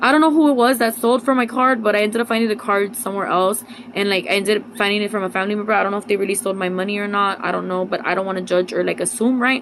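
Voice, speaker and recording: Talking very fast in an animated tone, a woman with a medium-pitched voice and ordinary pitch variation is heard over noticeable background noise. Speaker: religious vlogger. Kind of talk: casual vlog monologue.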